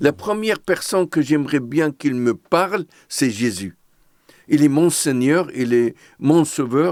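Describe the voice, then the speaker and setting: A speaker with an Arabic accent talks at a very slow pace with lively intonation and very even loudness, in a dry, close sound with no echo and a very clean recording with a silent background. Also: man, fairly high pitch for a man. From Lebanon, Beirut. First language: Arabic (speaking French). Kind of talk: testimony.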